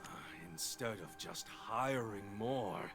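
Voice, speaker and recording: Amid loud background noise, a man does a put-on character voice at medium pitch and a fairly slow pace. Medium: video game. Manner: brusque.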